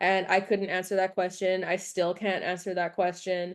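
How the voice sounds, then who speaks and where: Moderate-paced speech over a quiet background. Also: woman. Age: 20s. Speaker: horse trainer. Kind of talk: podcast interview. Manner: many fillers, casual.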